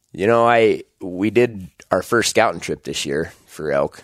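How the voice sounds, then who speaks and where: The recording is very clean with a silent background. In it, a man talks at a fairly slow pace. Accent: American. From Idaho, US. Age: 30s. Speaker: hunting podcast host. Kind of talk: solo podcast monologue. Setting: home bedroom, recording alone.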